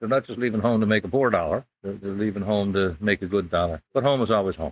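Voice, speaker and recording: With a Newfoundland accent, a man speaks at a very fast pace and ordinary pitch variation. The sound is dry and close, with no echo. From Newfoundland, St. John's. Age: 70s. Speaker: retired curler and coach. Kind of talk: interview conversation.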